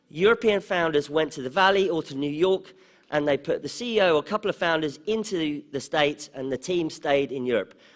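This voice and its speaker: Speech comes at a fairly quick pace with an English accent. Pitch varies in an ordinary way, and the recording is very clean with a silent background. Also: man. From England, London. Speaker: conference speaker on startups. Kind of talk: conference talk. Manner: conversational, with fillers.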